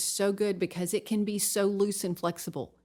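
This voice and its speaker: This woman has a Southern US accent. Her pitch is medium, with ordinary variation. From Tennessee. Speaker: nutrition coach. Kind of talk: podcast interview.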